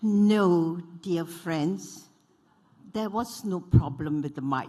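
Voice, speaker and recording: A lively, rising-and-falling intonation carried at a very slow pace. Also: woman, fairly low pitch for a woman. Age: 80s+. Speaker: panelist, former member of parliament. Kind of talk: panel talk.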